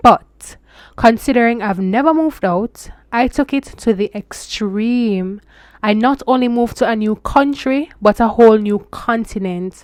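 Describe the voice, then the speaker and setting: A woman with a Jamaican accent, fairly high in pitch, at a fairly slow pace with ordinary pitch variation, in a very clean recording with a silent background and a dry, close sound with no echo. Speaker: international student vlogger. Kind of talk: casual vlog advice. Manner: switches into Jamaican Patois phrases.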